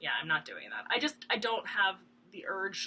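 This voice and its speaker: A woman talks at a fairly quick pace. Her voice is fairly high, with a bright, sharp tone. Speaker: cross stitch video blogger. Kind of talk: casual chat. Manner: loud; rambling with many ums and hesitations.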